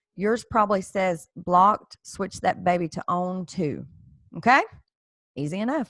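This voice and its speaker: In a dry, close sound with no echo, a woman speaks at medium pitch and a fairly slow pace, with ordinary pitch variation and long, frequent pauses. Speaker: credit repair tutorial creator. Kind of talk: tutorial. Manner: casual, with fillers and restarts.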